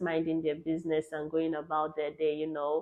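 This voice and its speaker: A woman with a Nigerian accent talks at a fairly quick pace in a fairly low voice. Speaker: travel vlogger. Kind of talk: casual chat.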